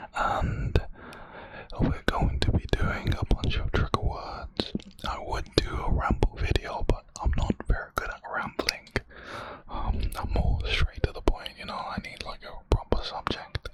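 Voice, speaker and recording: A whispered voice at a fairly slow pace, with noticeable background noise. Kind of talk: ASMR trigger words. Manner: slow, repetitive.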